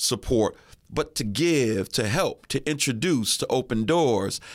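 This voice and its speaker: A man at a fairly slow pace, with very wide pitch swings, on a very clean recording with a silent background. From Erie, Pennsylvania. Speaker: radio host. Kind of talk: interview.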